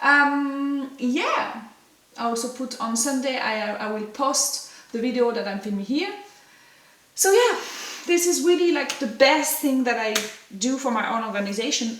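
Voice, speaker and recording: A woman speaks at a high pitch and a fairly slow pace with lively intonation and long, frequent pauses, with audible room echo and noticeable background noise. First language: French. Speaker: ceramic artist. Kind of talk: casual tutorial vlog. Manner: halting.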